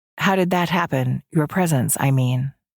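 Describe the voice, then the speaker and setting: A woman's put-on character voice, very deep and low, at a moderate pace. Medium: read story. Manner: stern, dry, authoritative.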